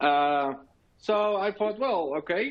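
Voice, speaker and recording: Lively intonation from a high-pitched man with a Dutch accent. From Netherlands. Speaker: technology officer and tech blogger presenting. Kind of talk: conference presentation. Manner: hesitant, many fillers.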